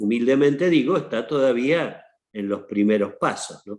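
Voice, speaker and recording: With a normal speaking voice, a man talks at a fairly slow pace using lively intonation. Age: 60s. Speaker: archbishop. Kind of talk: panel talk. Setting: online seminar.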